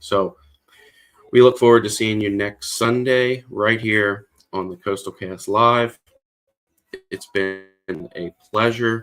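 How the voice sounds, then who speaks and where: With music in the background, a man speaks at a very slow pace and a fairly low pitch, his fairly even intonation broken by long, frequent pauses. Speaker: weather forecaster. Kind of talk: weather livestream.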